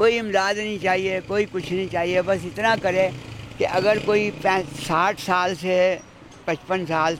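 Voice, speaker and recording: Noticeable background noise sits behind a man speaking at a high pitch. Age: old. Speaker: street vendor. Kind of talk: interview answer.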